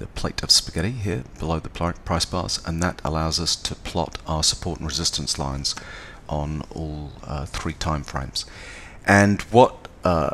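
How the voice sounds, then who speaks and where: A man talks with a very deep, low pitch and ordinary pitch variation. Noticeable background noise runs underneath. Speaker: trading educator. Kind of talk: tutorial. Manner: hesitant, many fillers.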